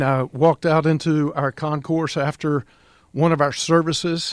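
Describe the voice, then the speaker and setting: Heard in a dry, close sound with no echo, a man talks with fairly even intonation. His pitch is fairly high, in a normal speaking voice. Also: very clean recording, silent background. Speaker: pastor. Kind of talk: radio interview.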